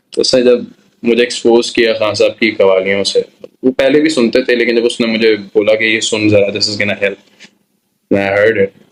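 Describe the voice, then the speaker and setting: A man speaks at a medium pitch, his intonation fairly even. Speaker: singer. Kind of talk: interview answer.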